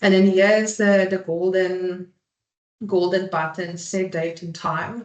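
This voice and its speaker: A woman speaks at a very slow pace in a medium pitch. Her intonation is monotone and flat. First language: Afrikaans. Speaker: marketing manager presenting a webinar. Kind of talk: webinar presentation. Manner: halting, many fillers.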